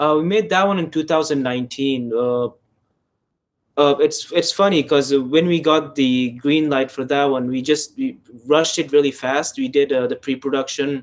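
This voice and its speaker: He speaks at a moderate pace with an Afghan accent. His pitch is fairly high and his intonation fairly even. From Afghanistan. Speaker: filmmaker. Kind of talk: casual chat. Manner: halting.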